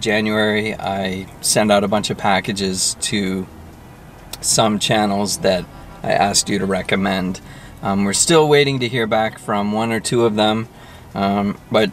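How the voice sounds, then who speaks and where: An unremarkable speaking voice from a man, fairly low in pitch with fairly even intonation, in a dry sound with no echo and light background noise. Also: fairly slow pace. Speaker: food vlogger. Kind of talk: casual vlog chat. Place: car.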